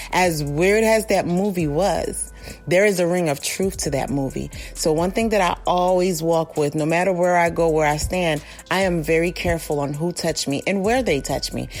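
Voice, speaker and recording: With music in the background, a woman speaks at a moderate pace and a fairly low pitch, showing ordinary pitch variation. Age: 40s. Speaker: listener contributor. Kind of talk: recorded testimony.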